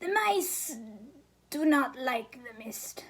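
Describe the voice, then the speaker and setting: Putting on a character voice, a woman speaks high-pitched with very wide pitch swings. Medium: read story. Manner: odd, cryptic.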